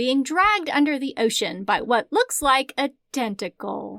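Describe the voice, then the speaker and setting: With a Southern US accent, a woman speaks at a high pitch. Her pitch swings very widely. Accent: Southern American. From Southern United States. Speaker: book recommender.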